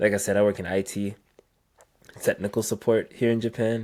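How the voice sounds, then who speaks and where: A man with an American accent talks in an ordinary speaking voice. His pitch is fairly low and his intonation fairly even. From US South, Virginia. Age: 20s. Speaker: IT support worker on carnivore diet. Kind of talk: interview.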